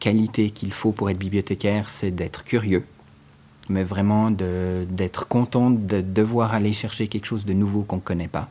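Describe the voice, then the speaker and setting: Man's dark, mellow voice at a fairly low pitch. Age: 40s. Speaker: librarian. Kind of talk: interview.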